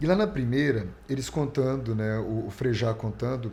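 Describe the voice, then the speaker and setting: With a dark, mellow tone and some vocal fry, a man speaks at a medium pitch with lively intonation. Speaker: radio announcer. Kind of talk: interview answer.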